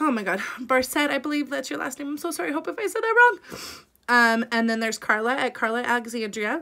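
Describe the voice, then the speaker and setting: A woman with a high pitch speaks at a very fast pace in a raised, projected voice. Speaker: lifestyle vlogger. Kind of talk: casual vlog intro. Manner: chatty with many fillers.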